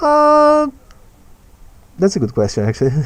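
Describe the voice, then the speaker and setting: A man speaks with a Portuguese accent. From Brazil. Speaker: animator and streamer. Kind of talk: live stream Q&A. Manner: halting, frequent repetitions.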